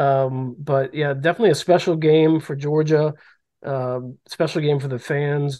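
A man with an American accent speaks at a moderate pace with fairly even intonation. His fairly high voice has a dark, mellow tone. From Maryland. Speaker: sports journalist podcast host. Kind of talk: casual sports chat.

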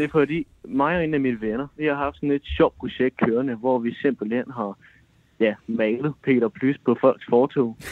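In a plain, everyday voice, a man speaks fairly slowly at a medium pitch with ordinary pitch variation. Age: 20s. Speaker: caller. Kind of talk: casual chat.

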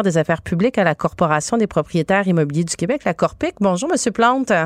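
A woman's very fast, lively-intoned speech in a dry, close sound with no echo. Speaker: radio host. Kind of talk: talk radio interview.

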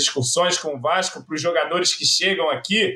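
This man talks at a high pitch. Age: 30s. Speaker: football fan commentator. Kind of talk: casual chat.

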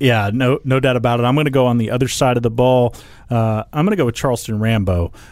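A man with an American accent speaks at a very fast pace in a medium pitch. His pitch variation is ordinary and his loudness stays very even. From Oklahoma City. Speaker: sports beat writer and podcast host. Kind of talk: casual sports discussion.

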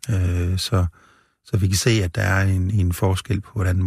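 In a very deep, low pitch, a man talks somewhat breathily in a flat monotone. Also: very clean recording, silent background. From rural central Jutland, Denmark. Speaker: medical professor and brain researcher. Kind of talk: interview. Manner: halting, many fillers.

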